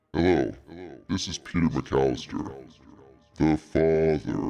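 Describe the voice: Faint music plays behind a man doing a sinister put-on character voice, very deep and low in pitch, at a fairly slow pace.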